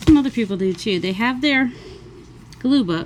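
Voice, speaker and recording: A woman speaks with noticeable background noise. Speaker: crafting YouTuber. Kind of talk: crafting tutorial. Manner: casual, rambling.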